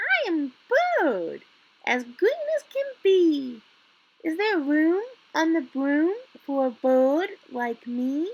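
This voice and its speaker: A put-on character voice that sounds female rises to an extremely high pitch and unfolds at a very slow pace. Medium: read story.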